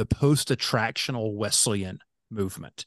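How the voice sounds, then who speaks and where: An unremarkable speaking voice from a man with an American accent, medium in pitch, at a moderate pace, dry and close with no echo against a quiet background. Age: 40s. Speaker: pastor. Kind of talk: interview.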